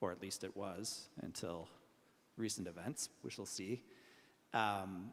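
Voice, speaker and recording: With a Canadian accent, a man speaks at a fairly slow pace with long, frequent pauses, fairly low pitch and ordinary pitch variation. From Canada. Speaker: arbitration lawyer, conference panelist. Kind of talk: panel discussion.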